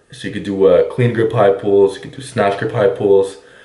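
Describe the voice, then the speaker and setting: Over noticeable background noise and audible room echo, a man talks at a moderate pace, his pitch fairly low and his intonation fairly even. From Quebec. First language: French. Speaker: fitness coach. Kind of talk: Q&A monologue.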